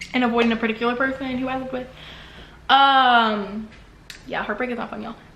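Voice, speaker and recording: Amid noticeable background noise and audible room echo, a woman with a high pitch and an animated tone talks at a very fast pace, with big swings in loudness and long, frequent pauses. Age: 20s. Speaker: vlogger. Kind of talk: personal vlog monologue. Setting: bathroom.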